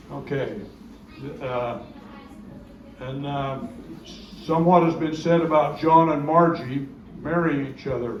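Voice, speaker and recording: A man at a fairly slow pace with long, frequent pauses and fairly even intonation, amid noticeable background noise and audible room echo. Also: fairly high pitch for a man. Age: 80s+. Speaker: family elder speaker. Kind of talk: reunion speech, reminiscing. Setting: family reunion gathering. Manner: halting, repetitive.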